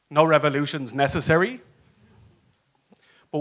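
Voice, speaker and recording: With an Irish accent, a man talks at a fairly high pitch. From Ireland. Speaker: advocacy consultant and conference speaker. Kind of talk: conference talk. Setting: stage with audience. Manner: animated.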